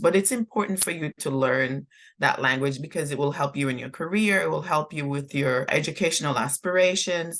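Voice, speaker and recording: A woman with a very deep, low pitch, a fairly quick pace and ordinary pitch variation. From Jamaica. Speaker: former diplomat. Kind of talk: interview answer.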